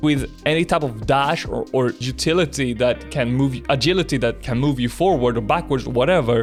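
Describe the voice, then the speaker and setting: A man with a non-native accent and a medium pitch, at a moderate pace with ordinary pitch variation, music in the background. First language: not English. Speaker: gaming content creator. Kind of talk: casual unscripted commentary.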